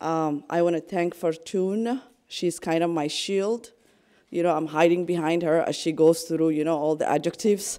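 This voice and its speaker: This woman has a fairly low pitch and a dark, mellow tone. She speaks at a moderate pace with fairly even intonation. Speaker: nonprofit program director. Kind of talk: panel presentation. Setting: conference panel with audience.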